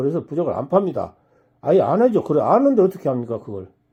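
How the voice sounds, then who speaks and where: An animated man with a high-pitched voice. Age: 70s. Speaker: fortune teller. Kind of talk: direct-to-camera talk.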